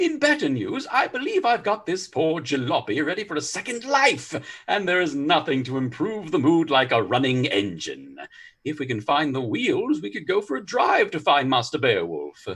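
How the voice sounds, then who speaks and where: A man puts on a character voice, pitched fairly high and paced moderately. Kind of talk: comic overacting. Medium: audio drama. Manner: excitable, florid exclamations.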